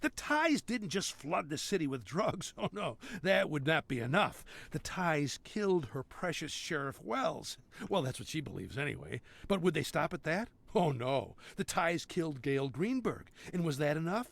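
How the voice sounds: A man does a put-on character voice, fairly high for a man, with a fairly bright tone, vocal fry, big pitch swings and a moderate pace.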